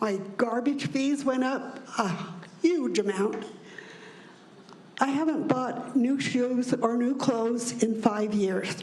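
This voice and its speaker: A woman with an American accent and high pitch speaks at a very slow pace with long, frequent pauses and ordinary pitch variation, amid noticeable background noise and audible room echo. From Utah. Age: 80s+. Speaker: retiree speaking at public hearing. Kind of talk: public comment. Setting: public hearing.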